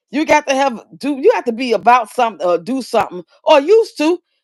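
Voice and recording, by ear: A woman's high voice with big pitch swings at a fairly quick pace.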